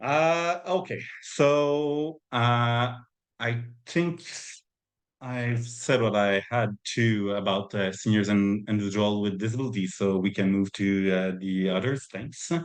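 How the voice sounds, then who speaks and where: A man in a Quebec French accent, at a very slow pace with lively intonation and very even loudness, over a quiet background. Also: medium pitch for a man. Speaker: community organizer presenting on housing. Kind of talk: webinar presentation. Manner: halting, many fillers.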